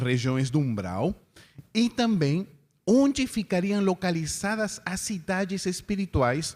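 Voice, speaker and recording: A man with a non-native accent speaks at a very slow pace, his pitch swinging very widely. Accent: foreign accent in Portuguese. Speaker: spiritist lecturer. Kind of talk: lecture.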